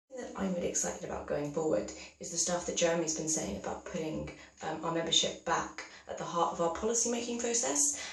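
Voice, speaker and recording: A woman with a fairly low voice talks very fast and with lively intonation, amid noticeable background noise and audible room echo. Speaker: youth political candidate. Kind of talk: campaign video monologue. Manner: casual, filler-heavy.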